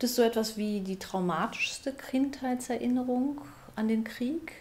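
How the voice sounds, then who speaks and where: A woman speaks at a fairly slow pace in a high voice with ordinary pitch variation. There is light background noise. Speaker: radio and TV author and presenter. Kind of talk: interview questions. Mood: calm, attentive, gentle. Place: home room.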